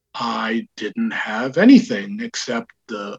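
A man speaks with very wide swings in his pitch. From Israel, raised in New York. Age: 60s. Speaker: comic shop founder. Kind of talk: interview conversation.

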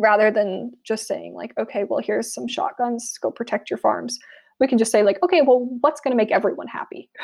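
A woman with an American accent and a fairly high, vocal-fry voice, fairly quick pace and ordinary pitch variation, on a very clean recording with a silent background. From US South, South Florida. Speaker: anthropologist. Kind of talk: interview.

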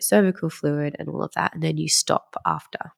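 Someone talks at a fairly quick pace with an Australian accent. The sound is dry and close, with no echo. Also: woman. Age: 30s. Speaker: acupuncturist. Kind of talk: interview.

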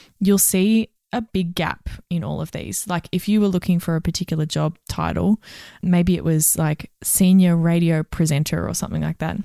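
On a very clean recording with a silent background and a dry, close sound with no echo, a woman with an Australian accent speaks at a moderate pace in a dark, mellow tone, fairly low in pitch, with fairly even intonation. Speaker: HR and recruitment professional, podcast co-host. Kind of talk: casual advice chat.

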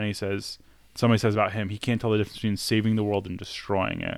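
The intonation stays fairly even in an ordinary speaking voice. The recording is very clean, with a silent background. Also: man. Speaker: podcast co-host. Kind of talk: casual chat.

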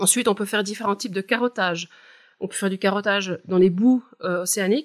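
An ordinary speaking voice from a woman, fairly quick and fairly even in intonation, in a very clean recording with a silent background. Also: medium pitch for a woman. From Switzerland, Val de Travers, canton of Neuchâtel. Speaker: climate scientist. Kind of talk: expert interview.

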